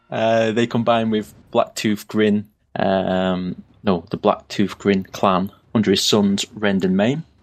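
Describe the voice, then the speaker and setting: A man speaks very slowly at a fairly low pitch, with fairly even intonation. He has a northern English accent. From northern England. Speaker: podcast co-host. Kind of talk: casual chat.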